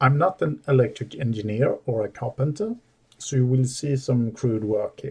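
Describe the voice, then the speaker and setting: A man with a non-native accent talks at a moderate pace and medium pitch. His voice is somewhat breathy, with ordinary pitch variation. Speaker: DIY audio hobbyist. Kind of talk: tutorial. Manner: halting.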